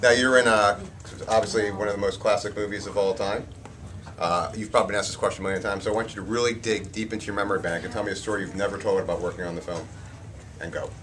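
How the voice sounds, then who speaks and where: Amid noticeable background noise and audible room echo, a man with a fairly low pitch speaks very fast in a monotone, flat way. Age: 40s. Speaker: interviewer, metal show host. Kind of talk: casual interview. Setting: horror convention.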